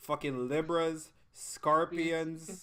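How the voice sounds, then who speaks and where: The recording is very clean, with a silent background. A man with a fairly high pitch speaks in a bright, sharp, animated tone. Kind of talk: casual chat.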